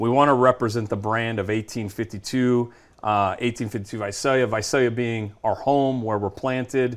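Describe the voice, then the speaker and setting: On a very clean recording with a silent background, a man with an American accent speaks at a medium pitch. His pace is fairly slow and his intonation fairly even. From California Central Valley (Madera/Fresno). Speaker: sports business founder and CEO. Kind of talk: radio/TV interview. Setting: studio. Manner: hesitant, many fillers and repetitions.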